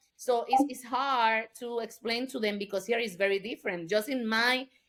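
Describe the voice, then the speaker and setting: The woman's voice sits fairly high. Its pitch moves in an ordinary way. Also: moderate pace. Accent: Puerto Rican. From Puerto Rico. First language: Spanish. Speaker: state legislator. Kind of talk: podcast interview. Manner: halting, with repetitions.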